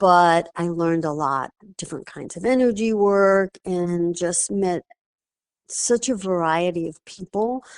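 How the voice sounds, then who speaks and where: A woman talks at a fairly low pitch and a fairly slow pace, with ordinary pitch variation, in a normal speaking voice. The sound is dry and close, with no echo. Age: 60s. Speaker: wellness practitioner. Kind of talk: interview. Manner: casual, with fillers.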